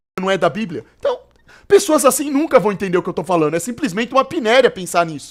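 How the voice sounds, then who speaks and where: A man's very fast, animated speech with lively intonation. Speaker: streamer reacting to videos. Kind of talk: live stream reaction commentary.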